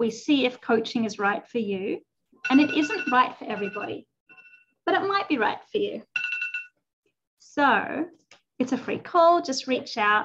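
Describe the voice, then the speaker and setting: An Australian-accented woman with a high pitch speaks at a fairly slow pace, taking long, frequent pauses and making very wide pitch swings. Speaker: life coach. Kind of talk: casual chat.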